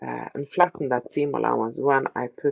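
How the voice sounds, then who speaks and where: This woman speaks with a non-native accent. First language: not English. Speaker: sewing tutorial creator. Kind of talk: tutorial. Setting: sewing room. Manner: hesitant, many fillers.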